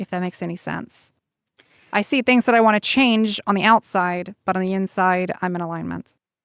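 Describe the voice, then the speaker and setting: A woman with a normal speaking voice, medium pitch and a fairly quick pace, in a dry, close sound with no echo on a very clean recording with a silent background. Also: fairly even intonation. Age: 20s. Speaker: activist and voice actress. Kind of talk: casual interview chat.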